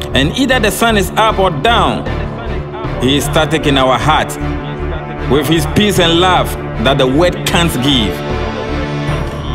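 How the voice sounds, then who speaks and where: Clear background music behind a man speaking at a fairly slow pace. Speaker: poet. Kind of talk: spoken word poetry. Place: studio.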